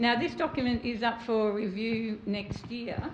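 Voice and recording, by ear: A woman speaks at a fairly slow pace with fairly even intonation. There is audible room echo. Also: fairly high pitch for a woman.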